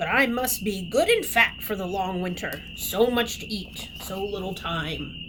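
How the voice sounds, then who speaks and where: In a growling, put-on character voice, the speaker goes at a moderate pace with hardly any pauses and audible echo. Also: woman, medium pitch for a woman. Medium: read story.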